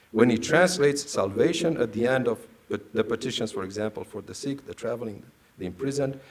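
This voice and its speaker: Lively intonation marks a man's medium-pitched voice. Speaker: priest and theology scholar. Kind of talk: lecture. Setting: stage with audience. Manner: formal.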